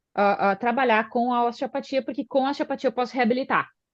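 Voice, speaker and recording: At a fairly quick pace, a woman speaks with a fairly high pitch. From southern Brazil, Porto Alegre. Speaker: osteopath and physiotherapist. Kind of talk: podcast interview. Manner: hesitant, many filler sounds.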